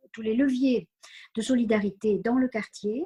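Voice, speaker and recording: A somewhat breathy woman's voice, fairly high in pitch with a dark, mellow tone, at a fairly slow pace, in a dry, close sound with no echo. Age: 70s. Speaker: community centre volunteer administrator. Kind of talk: interview. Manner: halting, many hesitations.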